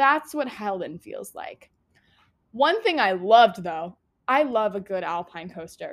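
In an American accent, a woman speaks at a fairly slow pace with a fairly high pitch, very wide pitch swings and big swings in loudness. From Florida, US. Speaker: podcast host, theater student. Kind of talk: casual solo podcast talk.

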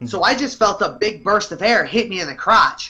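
With an American accent, a man speaks in a raised, projected voice at a moderate pace, high in pitch, bright and sharp in tone, with lively intonation. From US Midwest. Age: 30s. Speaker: professional fighter. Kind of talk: casual chat.

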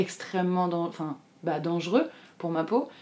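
A woman speaks with a fairly low pitch and ordinary pitch variation. Her tone is dark and mellow. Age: 20s. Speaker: artist sharing eczema experience. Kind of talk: testimony.

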